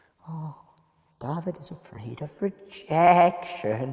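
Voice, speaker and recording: The speaker uses a put-on character voice at a middle pitch, raspy and squeaky. The pace is fairly slow. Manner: ridiculous, comical.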